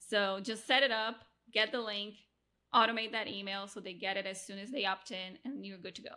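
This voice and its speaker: Medium in pitch, a woman speaks at a fairly quick pace with a bright, sharp tone. Her loudness swings widely. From Brazil, Rio de Janeiro. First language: Portuguese. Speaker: podcast producer and coach. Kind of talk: interview conversation. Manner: animated.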